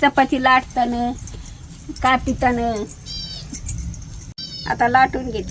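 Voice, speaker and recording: Noticeable background noise is present. Over it, a woman talks at a high pitch. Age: old. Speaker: home cook, grandmother. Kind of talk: cooking demonstration talk to camera. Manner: warm, homely, affectionate.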